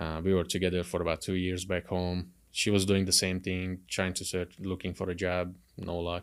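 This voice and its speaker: A man's very deep, low voice in a Hungarian accent, on a very clean recording with a silent background. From Hungary. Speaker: car salesman. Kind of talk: podcast interview.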